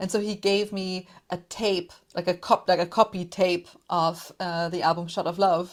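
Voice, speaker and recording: Heard in a very clean recording with a silent background, a woman with a German accent speaks with monotone, flat intonation. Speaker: podcaster, music commentator. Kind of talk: casual interview chat.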